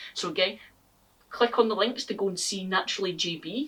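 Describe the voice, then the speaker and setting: A woman talks at a fairly quick pace. Her pitch varies in an ordinary way. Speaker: gardening YouTuber. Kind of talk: casual vlog talk to camera.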